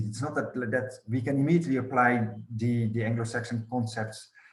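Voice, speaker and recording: There is audible room echo around a man's somewhat breathy voice. His pace is moderate and his intonation fairly even. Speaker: scholar of European studies. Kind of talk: academic roundtable discussion.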